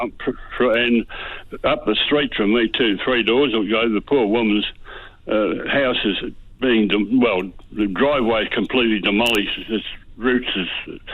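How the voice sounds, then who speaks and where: With an Australian accent, a man talks at a moderate pace, his medium pitch held in fairly even intonation. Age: 80s+. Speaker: caller. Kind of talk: phone-in question. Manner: halting, stammering.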